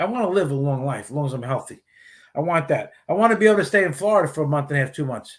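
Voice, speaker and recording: A man with an American accent talks at a very fast pace. His voice is somewhat breathy, with lively intonation. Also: fairly high pitch for a man. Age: 60s. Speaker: retired police officer and garage cleaning business owner. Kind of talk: casual chat. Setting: live stream show.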